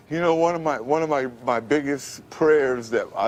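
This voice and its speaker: A man at a fairly high pitch talks at a moderate pace in a plain, everyday voice with ordinary pitch variation. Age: 50s. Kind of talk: interview answer.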